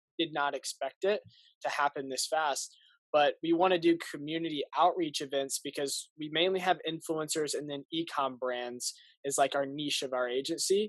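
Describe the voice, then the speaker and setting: Delivered in an ordinary speaking voice with an American accent, the speech has a moderate pace and fairly even intonation, with a dry, close sound, no echo and a quiet background. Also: man, fairly high pitch for a man. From US Midwest, Indianapolis. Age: young. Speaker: marketing agency founder. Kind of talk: casual interview.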